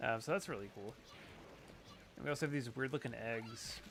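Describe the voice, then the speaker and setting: Music plays in the background as a man talks at medium pitch. His pace is moderate and his pitch varies in an ordinary way. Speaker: gaming streamer. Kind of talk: game stream commentary.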